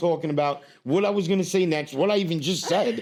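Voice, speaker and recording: In a New York accent, a man speaks with an animated tone, a high voice and ordinary pitch variation. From New York, US. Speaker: stand-up comedian. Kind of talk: casual chat. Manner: fast.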